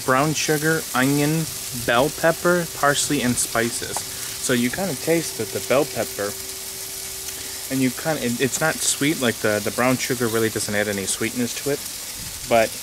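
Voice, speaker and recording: With noticeable background noise and a dry sound with no echo, a man speaks at a fairly slow pace. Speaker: home cook vlogger. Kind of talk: casual cooking vlog chat. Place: garden. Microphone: phone near.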